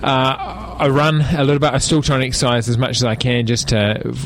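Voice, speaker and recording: A man with a New Zealand accent talks at a fairly quick pace in a medium pitch with fairly even intonation. Noticeable background noise and audible room echo surround him. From New Zealand, Palmerston North. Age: 40s. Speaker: political candidate, former air force pilot. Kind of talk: radio interview. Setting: radio studio.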